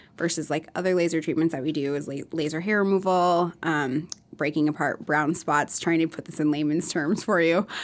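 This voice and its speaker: A plain, everyday voice from a woman with an American accent, fairly quick and fairly even in intonation, on a very clean recording with a silent background. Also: fairly low pitch for a woman. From Minnesota and Iowa. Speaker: skin clinic owner, former nurse. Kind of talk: casual interview.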